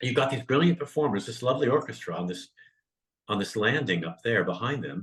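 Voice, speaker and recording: Talking at a fairly quick pace with an American accent, a man shows vocal fry and very wide pitch swings. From northern California. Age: 60s. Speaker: comedian. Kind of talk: interview conversation.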